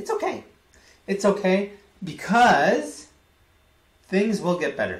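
With audible room echo, a man with an American accent speaks at a fairly slow pace, leaving long, frequent pauses. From United States. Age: 20s. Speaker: vlogger. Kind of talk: vlog monologue. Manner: animated; repetitive. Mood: emotional, candid about struggles. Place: home room. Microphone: webcam.

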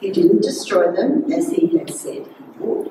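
A woman's voice is heard with audible room echo and noticeable background noise. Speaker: scripture reader. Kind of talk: scripture reading. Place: church. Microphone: podium.

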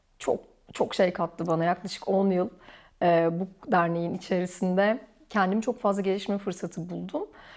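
An unremarkable speaking voice from a woman, medium in pitch, fairly even in intonation and moderate in pace, on a very clean recording with a silent background. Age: 40s. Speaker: orthodontist. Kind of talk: casual interview chat. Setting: at home, filmed.

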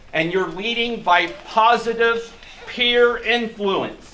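Over light background noise, a man raises and projects his high voice, keeping his intonation fairly even. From US Midwest. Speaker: sheriff's deputy. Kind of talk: public speech. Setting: outdoors. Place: garage. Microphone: camera far.

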